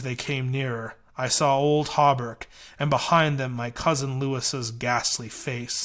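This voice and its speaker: A man's put-on character voice at medium pitch, at a fairly slow pace, on a very clean recording with a silent background. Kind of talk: horror narration. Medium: read story.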